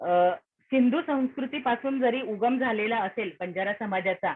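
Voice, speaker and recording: A woman with a fairly high pitch speaks in an ordinary speaking voice. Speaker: lecturer. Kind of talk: lecture.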